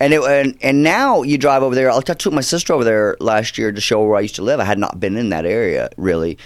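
Talking at a very fast pace with hardly any pauses, a man with an American accent uses lively intonation at a medium pitch. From US South, Georgia. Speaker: actor. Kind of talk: casual interview chat.

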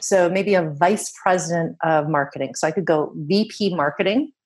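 With a Canadian accent, a woman uses a normal speaking voice, fairly low in pitch, with lively intonation. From Canada. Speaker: LinkedIn marketing expert. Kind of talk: interview. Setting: radio show remote interview.

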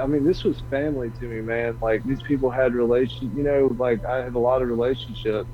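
A man's medium-pitched voice at a fairly quick pace, fairly even in intonation, with noticeable background noise. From US South. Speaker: stream creator and podcaster. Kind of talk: casual interview chat. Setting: online stream call.

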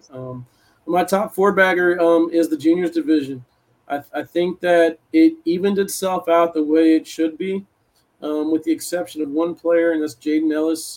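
A man with a high pitch speaks at a moderate pace with fairly even intonation. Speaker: podcast host. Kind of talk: casual chat. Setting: video call.

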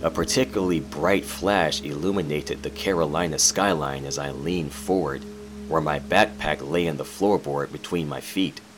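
With music in the background, a man with a very deep, low pitch speaks at a moderate pace. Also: ordinary pitch variation. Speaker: horror fiction narrator. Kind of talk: scripted horror fiction narration, first-person. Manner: dramatic, brooding, theatrical.

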